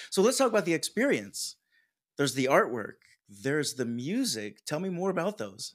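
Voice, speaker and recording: In an American accent, a man with a fairly high voice and vocal fry talks at a moderate pace, his pitch swinging very widely, on a very clean recording with a silent background. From US. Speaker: podcasting coach. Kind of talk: casual chat. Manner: animated.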